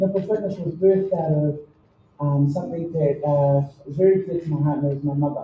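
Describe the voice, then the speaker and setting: This woman's voice has a dark, mellow tone, is somewhat breathy, and shows ordinary pitch variation. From New Zealand, Samoan community. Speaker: fitness program founder. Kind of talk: introduction speech.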